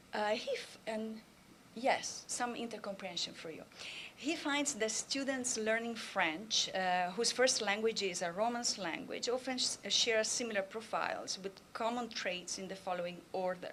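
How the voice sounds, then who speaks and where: A woman with a strong Italian accent, fairly high pitch and ordinary pitch variation, in audible room echo. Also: moderate pace. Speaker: language and literature professor. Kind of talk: conference talk. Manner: hesitant, many fillers.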